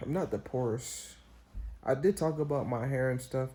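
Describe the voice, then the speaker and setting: Somewhat breathy and dark, mellow in tone, a man speaks with lively intonation. The recording is very clean, with a silent background. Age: 20s. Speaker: vlogger. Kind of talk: casual monologue. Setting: hotel room. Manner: halting.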